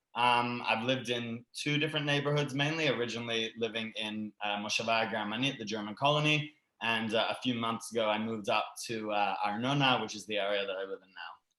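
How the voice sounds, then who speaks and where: A man with a Canadian accent and a bright, sharp tone. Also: medium pitch for a man, ordinary pitch variation, fairly quick pace. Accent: sounds Canadian rather than Australian. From Sydney, Australia and Canada. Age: 20s. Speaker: immigrant to Israel, former teacher. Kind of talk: online panel, personal story. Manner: hesitant, many fillers.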